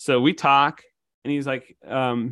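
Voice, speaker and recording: At a fairly slow pace, a man speaks in an American accent. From Illinois. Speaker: bankruptcy attorney. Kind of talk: casual chat. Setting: video call.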